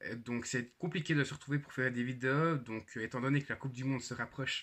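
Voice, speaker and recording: A man's bright, sharp, medium-pitched voice, fairly quick in pace, with fairly even intonation. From Switzerland, canton of Jura. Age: 20s. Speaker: YouTuber. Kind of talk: channel introduction vlog. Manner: hesitant, many fillers.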